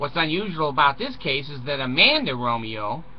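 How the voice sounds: Big pitch swings come through over clear background noise. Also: man, fairly high pitch for a man, moderate pace.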